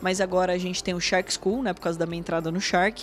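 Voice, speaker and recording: The talking runs at a fairly quick pace while music sounds behind it. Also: woman. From Brazil, São Paulo state (Porto Feliz). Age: 30s. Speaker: financial market executive and educator. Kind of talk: interview. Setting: studio.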